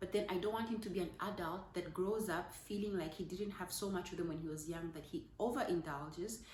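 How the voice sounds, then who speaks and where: A woman speaks at a moderate pace in a fairly low pitch, somewhat breathy and with fairly even intonation. Audible room echo surrounds her voice. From Zambia. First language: Zambian language, not English. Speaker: parenting vlogger. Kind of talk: casual talk to camera. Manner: halting, with fillers.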